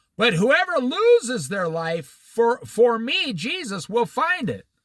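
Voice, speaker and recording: A man with an American accent at an extremely high pitch, very slow pace and very wide pitch swings. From US Midwest, Iowa. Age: 60s. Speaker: Bible teacher. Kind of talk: Bible study. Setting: outdoors by a lake.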